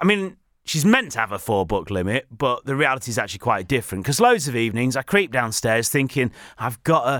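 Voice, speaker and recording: A man with a British accent, medium pitch, lively intonation and a fairly quick pace, on a very clean recording with a silent background. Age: 30s. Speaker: podcast host. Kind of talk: casual solo podcast monologue.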